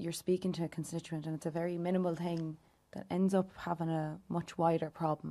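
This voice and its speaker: A woman speaks fairly quickly in an Irish accent, her dark, mellow tone set at a fairly low pitch. Her intonation is monotone and flat, and the recording is very clean with a silent background. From Ireland, County Louth. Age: 20s. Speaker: youth wing executive member. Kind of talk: interview conversation.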